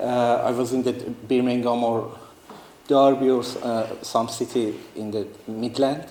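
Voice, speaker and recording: Over noticeable background noise and audible room echo, a man with a non-native accent speaks at a medium pitch in a monotone, flat way. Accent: non-native English, limited. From northeastern Iran. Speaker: artist and refugee. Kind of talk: talk to students. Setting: talk to a student audience. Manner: halting, many fillers and restarts.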